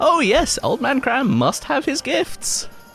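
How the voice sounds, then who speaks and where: Over clear background music, a man puts on a character voice at an extremely high pitch, speaking fairly slowly. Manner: not threatening, a put-on voice.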